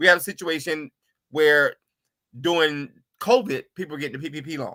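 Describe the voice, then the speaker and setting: A man with an American accent and an unremarkable speaking voice talks at a fairly quick pace in a fairly high pitch, with ordinary pitch variation and big swings in loudness. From US South, Atlanta. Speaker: attorney. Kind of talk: interview.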